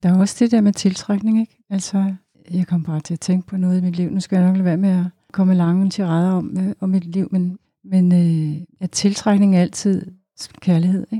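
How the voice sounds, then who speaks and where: A woman's somewhat breathy, dark, mellow voice at medium pitch comes at a moderate pace with monotone, flat intonation, sounding dry and close with no echo. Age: 60s. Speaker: psychotherapist at a women's shelter, jazz singer. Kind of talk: casual chat.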